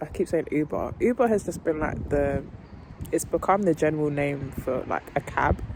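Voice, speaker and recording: Fairly quick and with ordinary pitch variation, a woman with a British accent speaks at a very deep, low pitch over noticeable background noise. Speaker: vlogger. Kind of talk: casual vlog chat. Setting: at home. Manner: rambling, casual.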